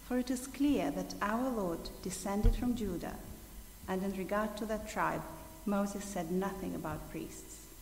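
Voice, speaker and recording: A woman speaks at a medium pitch with ordinary pitch variation. Audible room echo and noticeable background noise are present. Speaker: scripture reader. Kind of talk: reading aloud. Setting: church.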